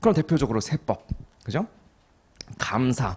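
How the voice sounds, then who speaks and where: A man's voice with vocal fry and very wide pitch swings, at a fairly quick pace. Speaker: accounting exam lecturer. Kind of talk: lecture. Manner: slightly muffled articulation; conversational, frequent check questions.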